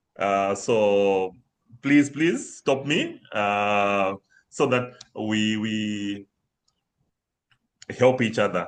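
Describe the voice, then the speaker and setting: A man with a Zimbabwean accent and fairly low pitch, at a very slow pace with long, frequent pauses and ordinary pitch variation. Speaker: banking systems consultant. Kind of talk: webinar presentation. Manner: hesitant, many fillers.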